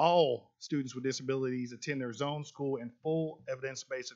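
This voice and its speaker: Fairly quick speech from a man at a medium pitch. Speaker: school district administrator. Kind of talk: presentation at a board meeting. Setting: public board meeting. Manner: fast; animated, with many repetitions.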